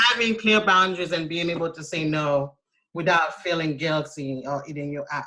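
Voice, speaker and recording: A woman speaks with a Haitian accent at a fairly low pitch. Her pace is moderate and her pitch variation ordinary. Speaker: self-care coach. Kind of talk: casual chat.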